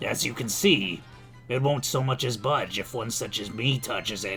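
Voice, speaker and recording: A man puts on a raspy character voice at a medium pitch and a moderate pace. Music plays clearly in the background. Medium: virtual streamer. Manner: coaxing, sly.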